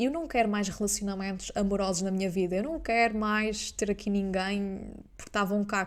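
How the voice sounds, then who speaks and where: Speaking at a fairly quick pace with hardly any pauses, a woman has a normal speaking voice with medium pitch and ordinary pitch variation. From Azores, Portugal. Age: 20s. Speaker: business mentor and coach. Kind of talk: podcast monologue.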